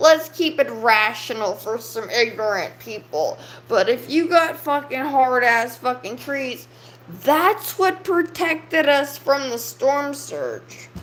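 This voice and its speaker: Speaking very slowly, a woman with a high voice uses lively intonation while noticeable background noise sits behind her. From US South, South Louisiana. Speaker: livestreamer. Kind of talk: casual livestream rant. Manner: animated.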